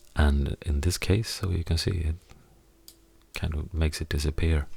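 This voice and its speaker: A fairly slow pace with a Swedish accent. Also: man. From Sweden. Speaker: musician and audio editing tutor. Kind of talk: tutorial. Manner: halting.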